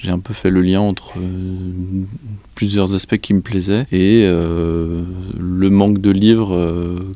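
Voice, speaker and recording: Delivered in a Breton accent, the voice has a dark, mellow tone and monotone, flat intonation. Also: man. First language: Breton (speaking French). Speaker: association president, librarian. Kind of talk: interview. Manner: hesitant, many fillers.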